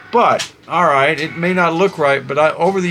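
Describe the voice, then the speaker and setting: There is noticeable background noise behind this man. He speaks at a moderate pace in a high pitch, his intonation fairly even. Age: 60s. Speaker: concert photographer and YouTuber. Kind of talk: casual vlog monologue. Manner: halting, many fillers.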